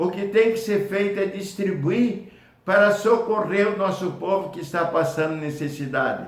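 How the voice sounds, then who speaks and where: This man's voice sits at a high pitch. It varies in pitch in an ordinary way. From Brazil, Paraná (Foz do Iguaçu). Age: 80s+. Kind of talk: testimonial talk to camera.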